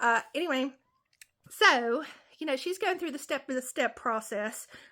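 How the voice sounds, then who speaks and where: A woman raises and projects her high-pitched voice with a bright, sharp tone. Her pitch swings very widely on a very clean recording with a silent background. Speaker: comedian. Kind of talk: casual storytelling to camera.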